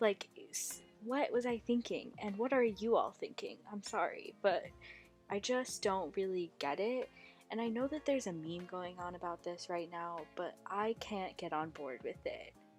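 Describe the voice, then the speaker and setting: With music in the background, a woman of medium pitch speaks with lively intonation. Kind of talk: casual talk to camera. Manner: slow.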